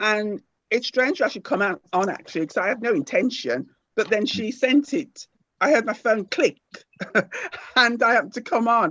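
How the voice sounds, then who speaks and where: A woman's fairly high voice, lively in intonation, at a moderate pace with long, frequent pauses, in a dry, close sound with no echo. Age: 60s. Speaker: caller sharing health question. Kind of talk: casual chat.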